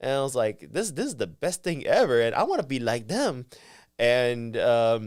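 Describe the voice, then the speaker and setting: A man with a Vietnamese accent on a very clean recording with a silent background. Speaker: professional wrestler. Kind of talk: casual interview chat. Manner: halting, many fillers and restarts.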